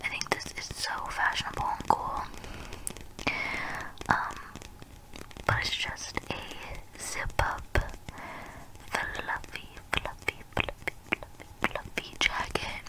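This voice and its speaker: Over noticeable background noise comes a very slow whisper full of long, frequent pauses. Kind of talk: ASMR try-on haul voiceover. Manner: whispered.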